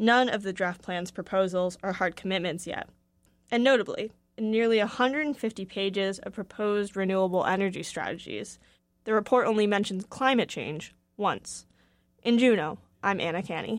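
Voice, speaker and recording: A plain, everyday voice from a woman, medium in pitch, with ordinary pitch variation at a moderate pace on a very clean recording with a silent background. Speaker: radio reporter. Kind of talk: scripted news report. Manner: formal.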